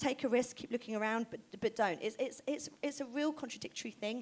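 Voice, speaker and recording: A woman with a southern English accent, high pitch, lively intonation and a fairly quick pace. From southern England, Oxford. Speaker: fashion stylist and creative director. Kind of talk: stage interview. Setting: stage with audience. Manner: fast; animated.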